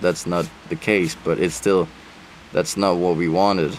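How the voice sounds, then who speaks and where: In a Danish accent, a man speaks with a very deep, low pitch. His intonation is flat and monotone, with noticeable background noise. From Denmark. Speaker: travel vlogger. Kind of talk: casual chat.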